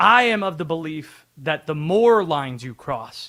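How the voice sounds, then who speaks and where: A man speaks at a fairly slow pace in a fairly high, bright, sharp voice with lively intonation. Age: young. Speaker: sports radio host. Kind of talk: sports talk radio.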